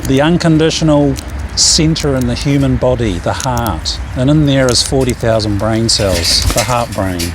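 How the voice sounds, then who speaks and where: A man with an Australian accent at a moderate pace, very even in loudness, with audible room echo and noticeable background noise. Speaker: animal whispering coach. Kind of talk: casual tutorial outdoors with birds. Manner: soft, caring tone.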